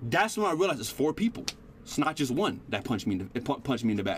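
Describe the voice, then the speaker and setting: A man speaks very fast, his pitch leaping very widely up and down. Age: 20s. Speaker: streamer. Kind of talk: casual chat. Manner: animated; halting.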